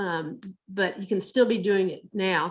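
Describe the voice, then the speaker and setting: A woman speaks at a medium pitch with an American accent. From Texas, Dallas. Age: 60s. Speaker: master gardener. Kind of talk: presentation. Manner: halting, many fillers and repeats.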